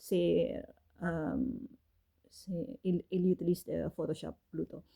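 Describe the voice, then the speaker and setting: A woman with a non-native accent speaks at a very slow pace. The sound is dry and close, with no echo. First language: not French (speaking French). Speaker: fashion designer and author. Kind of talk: casual monologue. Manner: halting, many fillers.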